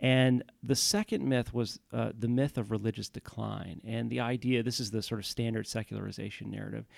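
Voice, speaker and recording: A man with an American accent and a normal speaking voice, fairly low in pitch, at a moderate pace, in a dry, close sound with no echo. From Houston, Texas. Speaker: historian. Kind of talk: interview.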